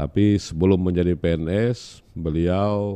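His tone is dark and mellow, and this man's very deep, low pitch moves with ordinary variation. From West Kalimantan, Indonesia. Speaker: regional head of government; guest. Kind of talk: interview. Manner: halting. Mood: relaxed, smiling. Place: studio. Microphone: studio mic.

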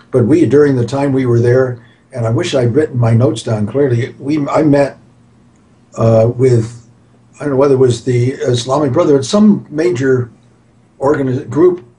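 A man's somewhat breathy, dark and mellow voice at medium pitch, with ordinary pitch variation and a moderate pace. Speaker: geologist. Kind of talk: interview. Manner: halting.

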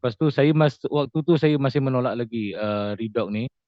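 Medium-pitched male speech at a moderate pace with ordinary pitch variation. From Johor, Malaysia. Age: 40s. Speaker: stroke survivor and farmer. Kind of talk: testimony. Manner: halting, many fillers.

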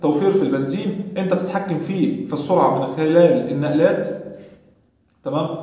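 A man with a high voice speaks at a moderate pace and ordinary pitch variation, with audible room echo. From Egypt. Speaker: motorcycle YouTuber. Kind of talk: tutorial. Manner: animated. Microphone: phone near.

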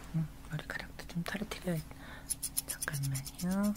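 A soft-spoken woman talks at a moderate pace. Noticeable background noise runs underneath. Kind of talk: ASMR roleplay. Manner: soft, hushed ASMR speaking voice. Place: home room.

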